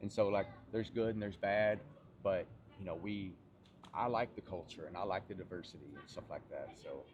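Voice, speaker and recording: With a Southern US accent, a man talks at a fairly quick pace in a fairly low pitch, with ordinary pitch variation, big swings in loudness and long, frequent pauses. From US South, Tennessee. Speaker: fitness coach. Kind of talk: casual chat.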